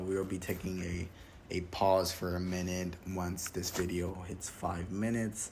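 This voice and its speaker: A man speaks at a fairly slow pace in a very deep, low voice, somewhat breathy, with audible room echo. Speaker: YouTuber reviewing a film critique video. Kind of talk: solo video commentary, report style. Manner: hesitant, many fillers.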